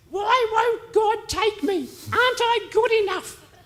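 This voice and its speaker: A female-sounding put-on character voice talks at a fairly slow pace in an extremely high pitch. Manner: doubtful, pleading.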